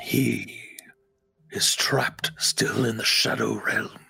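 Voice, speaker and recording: A raspy, put-on character voice from a man at a very slow pace. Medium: actual play. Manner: terse, commanding.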